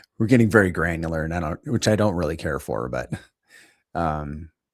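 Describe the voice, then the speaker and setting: Quiet speech with vocal fry and lively intonation moves along at a moderate pace. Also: man. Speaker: crypto streamer. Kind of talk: live stream market commentary. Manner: casual, halting.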